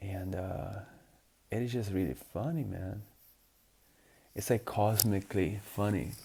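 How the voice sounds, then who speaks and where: A man's fairly low, dark and mellow voice with vocal fry, at a fairly slow pace. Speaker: life coach vlogger. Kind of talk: casual vlog after a run. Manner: halting, rambling.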